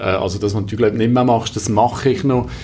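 A man's fairly low voice with a Valais accent, over noticeable background noise. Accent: Valais Swiss German dialect. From Brig, Valais, Switzerland. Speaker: recruiter and father. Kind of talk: casual interview. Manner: frequent hesitations (äh, ähm).

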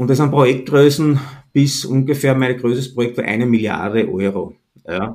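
Speaking with a slight Austrian accent, a man holds a medium pitch with ordinary variation at a moderate pace. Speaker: entrepreneur and positioning consultant. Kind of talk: interview. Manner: relaxed, casual.

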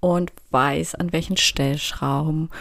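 The woman talks at a very slow pace. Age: 30s. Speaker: youth welfare educator and podcast host. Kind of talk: solo educational podcast.

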